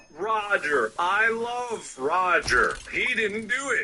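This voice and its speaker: A man puts on a character voice, talking very slowly at a high pitch. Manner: cartoon character impression.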